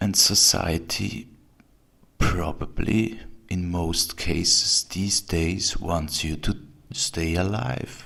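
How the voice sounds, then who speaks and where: Very slow and marked by vocal fry, a man's very deep, low voice carries a bright, sharp tone. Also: ordinary pitch variation. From Switzerland. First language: German. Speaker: video blogger. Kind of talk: video response.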